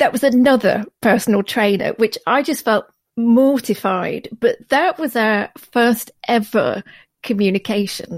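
At a fairly slow pace, a plain, everyday voice speaks with ordinary pitch variation on a very clean recording with a silent background and a dry, close sound with no echo. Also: woman, fairly high pitch for a woman. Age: 40s. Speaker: podcast host. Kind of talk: casual chat.

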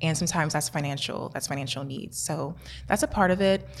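A woman with an American accent and vocal fry, at a very fast pace with ordinary pitch variation. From US Midwest, Kansas City. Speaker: chemistry PhD student. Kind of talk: interview.

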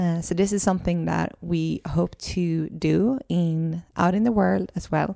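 With a Swedish accent, a woman speaks at a fairly slow pace with hardly any pauses, in a very clean recording with a silent background. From Sweden. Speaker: podcast host and holistic coach. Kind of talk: casual conversational podcast chat. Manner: hesitant, searching for English words.

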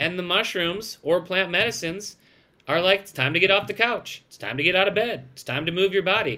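Raised and projected, a man's high, bright, sharp voice moves at a fairly quick pace with ordinary pitch variation and big swings in loudness. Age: 40s. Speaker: microdose company founder. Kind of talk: interview. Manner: animated.

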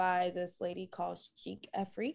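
A woman with an American accent speaks at a fairly slow pace in an ordinary speaking voice, her pitch sitting at a medium level. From US Northeast, Brooklyn, New York. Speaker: lingerie designer. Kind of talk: interview.

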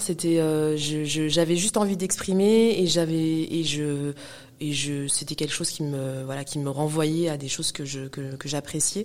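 A moderate pace with ordinary pitch variation. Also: woman. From Paris suburbs, Val-de-Marne (94). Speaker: hip-hop cultural manager and entrepreneur. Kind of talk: interview conversation. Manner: hesitant, many fillers and repetitions.

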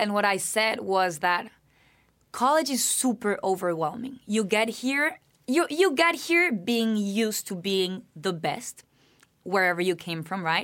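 In a Spanish accent, a woman speaks at a fairly slow pace. Her pitch swings very widely. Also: medium pitch for a woman. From Colombia, Bogotá. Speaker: university student. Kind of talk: interview.

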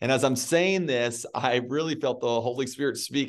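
This is an ordinary speaking voice at a moderate pace with ordinary pitch variation. The background is quiet. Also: man. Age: 30s. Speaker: pastor and author. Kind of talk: interview.

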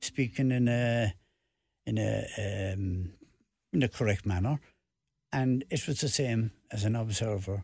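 A man with a Cork accent speaks in a somewhat breathy voice with ordinary pitch variation, very even loudness and long, frequent pauses, in a very clean recording with a silent background. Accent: Cork Irish. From Ireland, Cork. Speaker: retired football referee and author. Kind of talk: radio interview. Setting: radio studio.

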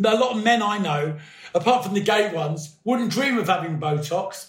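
A high-pitched man speaks at a moderate pace with lively intonation. Room echo is audible, and background noise is noticeable. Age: 50s. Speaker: podcast guest. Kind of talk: casual chat.

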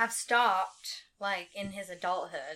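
A woman is speaking. Her pace is very slow. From Anderson. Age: 30s. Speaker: podcast guest, alien abduction experiencer. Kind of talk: casual chat. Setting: studio.

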